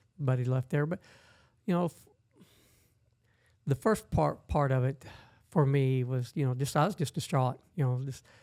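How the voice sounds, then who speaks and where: With a dark, mellow tone at medium pitch, a man talks at a moderate pace with ordinary pitch variation and long, frequent pauses. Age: 60s. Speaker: blind adventure athlete and navy veteran. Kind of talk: interview conversation. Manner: casual, halting.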